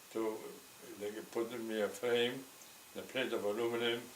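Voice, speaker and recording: In a room with audible echo and noticeable background noise, a man speaks in a medium pitch with flat, monotone intonation. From Poland. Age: 80s+. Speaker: Holocaust survivor. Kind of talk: oral history interview. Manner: halting, repeats words.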